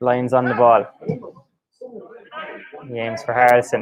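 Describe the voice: A man speaks at a slow pace. His intonation is monotone and flat. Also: medium pitch for a man.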